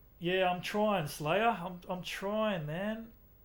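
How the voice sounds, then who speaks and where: Relaxed in tone, a man talks with an Australian accent. His pace is fairly slow and his intonation fairly even. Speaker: gaming streamer. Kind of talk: live game stream chat. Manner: casual, relaxed.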